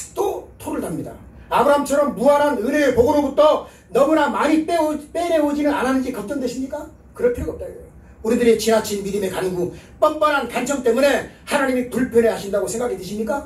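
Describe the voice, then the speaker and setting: Speaking at a very fast pace with an extremely high pitch, a man uses lively intonation and big swings in loudness amid audible room echo and noticeable background noise. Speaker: revival preacher. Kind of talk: sermon.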